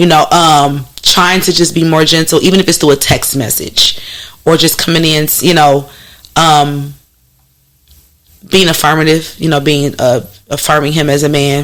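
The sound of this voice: A woman speaks with a low pitch and a raspy, fairly bright tone. Her pace is moderate, with little pitch movement.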